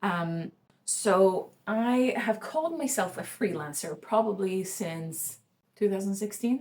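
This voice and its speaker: A woman talks at a very slow pace, somewhat breathy, with lively intonation. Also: medium pitch for a woman. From Sweden. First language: Swedish. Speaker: freelancer vlogger. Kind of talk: casual vlog monologue. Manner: halting, many fillers and restarts.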